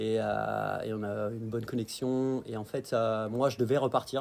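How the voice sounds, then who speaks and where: A man uses a normal speaking voice at a fairly slow pace, with medium pitch and fairly even intonation. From France, Dijon (Burgundy). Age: 30s. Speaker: outdoor guide and business owner. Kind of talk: casual interview.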